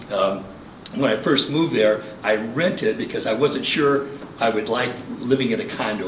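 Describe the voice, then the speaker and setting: Speaking fairly quickly with a Midwestern US accent, a man shows ordinary pitch variation. Noticeable background noise and audible room echo surround him. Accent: US Midwest. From Michigan. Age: 70s. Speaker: local election candidate. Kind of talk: campaign speech. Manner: formal.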